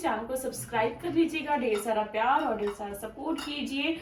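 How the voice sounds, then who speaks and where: A high-pitched woman's voice amid noticeable background noise and audible room echo. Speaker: vlogger. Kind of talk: casual vlog talk. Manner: not speaking loudly.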